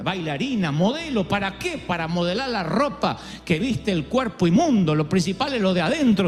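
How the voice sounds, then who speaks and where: Music plays in the background as a man talks at a moderate pace with very wide pitch swings. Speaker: preacher, pastor. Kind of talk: sermon, preaching to a congregation.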